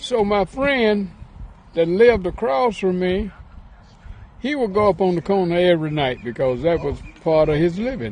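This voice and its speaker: The speaker has a Southern US accent and a moderate pace. The intonation is lively. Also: man. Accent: Southern US (Georgia). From Atlanta, Georgia. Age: 80s+. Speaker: professional golfer. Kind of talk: interview answer, reminiscing.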